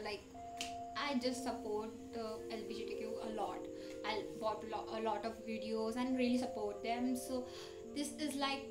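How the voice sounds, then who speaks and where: Clear music plays behind a woman talking at a fairly slow pace. She leaves long, frequent pauses. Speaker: reaction vlogger. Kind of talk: casual reaction chat. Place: home room. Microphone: webcam.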